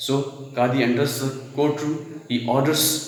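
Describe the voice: The speaker reads aloud plainly. Intonation holds fairly even throughout.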